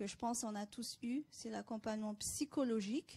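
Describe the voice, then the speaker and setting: In a very clean recording with a silent background, a woman speaks at a fairly high pitch and moderate pace, her tone dark and mellow, her pitch variation ordinary. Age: 30s. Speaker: cancer patient. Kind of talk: testimony.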